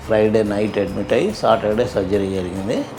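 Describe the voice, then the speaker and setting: Music plays in the background. A man speaks at a fairly low pitch. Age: 80s+. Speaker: knee replacement patient. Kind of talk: patient testimonial.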